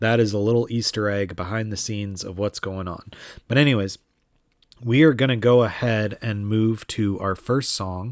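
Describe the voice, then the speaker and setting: This man has an unremarkable speaking voice, medium in pitch and moving at a moderate pace. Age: 30s. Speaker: podcast host. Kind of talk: casual solo podcast talk.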